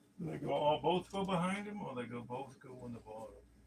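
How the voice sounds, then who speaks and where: Mumbling at a fairly quick pace, a man with a fairly high pitch uses lively intonation. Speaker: toy collector youtuber. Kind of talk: casual unboxing livestream talk. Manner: casual, hesitant.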